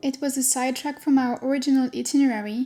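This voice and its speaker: Music plays in the background as a woman speaks at a high pitch. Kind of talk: travel vlog voice-over narration.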